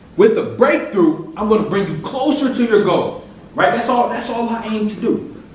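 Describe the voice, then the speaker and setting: A man's high-pitched voice with lively intonation, plus audible room echo and noticeable background noise. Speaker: motivational speaker. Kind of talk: motivational speech.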